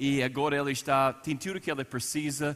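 A man speaks with an American accent at a moderate pace. His voice is fairly high, with a bright, sharp tone. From United States. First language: English (speaking Portuguese). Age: 40s. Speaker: pastor. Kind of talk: sermon. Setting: church service.

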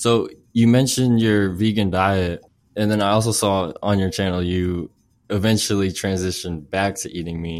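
Recorded very cleanly against a silent background, a man uses a normal speaking voice at a fairly low pitch, a moderate pace and fairly even intonation. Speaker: podcast host. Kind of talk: casual interview chat.

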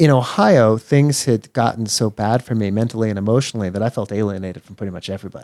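A man with an American accent talks at a very fast pace in a medium pitch, with a dark, mellow tone and ordinary pitch variation. The sound is dry and close with no echo, on a very clean recording with a silent background. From Texas. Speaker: life and business coach. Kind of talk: interview conversation.

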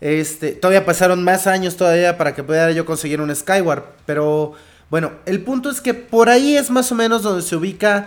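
This man's pitch is high. His intonation is lively. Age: 30s. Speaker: podcast co-host. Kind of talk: casual chat. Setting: live internet radio broadcast.

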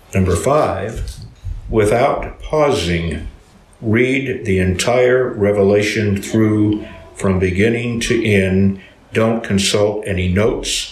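A man's fairly low voice, fairly even in intonation and very slow, over noticeable background noise. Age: 80s+. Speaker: retired pastor, Bible teacher. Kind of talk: teaching talk to a group. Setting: small group gathering.

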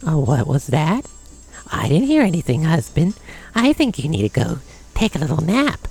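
Using a put-on character voice at a middle pitch, the speaker goes at a moderate pace with very wide pitch swings and long, frequent pauses while faint music plays in the background.

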